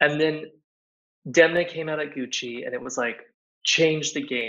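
A normal speaking voice from a man with an American accent, fairly even intonation and a moderate pace. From Texas, Dallas suburbs. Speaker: fashion designer. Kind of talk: interview conversation.

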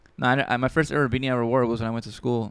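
Very fast, a man talks with fairly even intonation. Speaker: podcast host. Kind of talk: casual chat between friends. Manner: stuttery, rambling, fast thinking.

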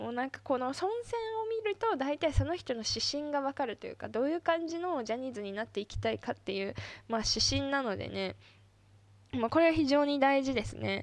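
A woman with a high pitch speaks at a fairly quick pace with lively intonation. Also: quiet background. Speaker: solo podcaster and idol fan. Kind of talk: casual solo monologue.

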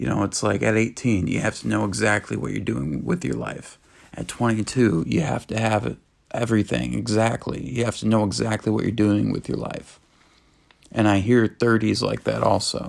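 Very wide pitch swings mark this man's fairly low voice, which has vocal fry and a moderate pace. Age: 20s. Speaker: podcast host. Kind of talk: solo monologue. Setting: in his bedroom. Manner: halting.

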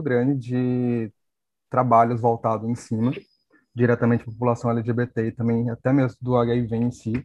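At medium pitch, a man uses an unremarkable speaking voice and talks at a moderate pace. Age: 30s. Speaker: HIV activist, YouTuber. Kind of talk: casual panel discussion.

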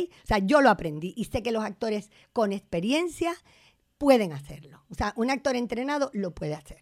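Over a silent background in a very clean recording, a woman with a fairly high voice sounds animated, moving fairly quickly through very wide pitch swings. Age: 60s. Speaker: theatre director and actress. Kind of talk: casual interview.

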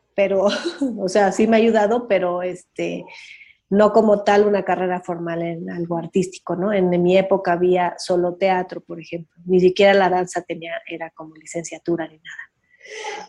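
Her tone is dark and mellow. This woman's intonation is monotone and flat. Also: medium pitch for a woman, moderate pace, big swings in loudness. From Mexico City. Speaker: dance teacher and cultural manager. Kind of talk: interview.

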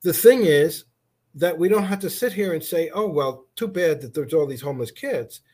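A man's high voice, dark and mellow in tone, with lively intonation, big swings in loudness and a moderate pace. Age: 60s. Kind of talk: casual interview.

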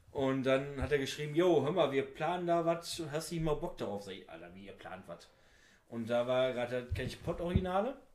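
A man has an unremarkable speaking voice at a fairly high pitch. He talks at a fairly quick pace with big swings in loudness. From Oberhausen, Ruhr area, Germany. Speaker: amateur footballer and wrestler. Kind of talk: casual chat.

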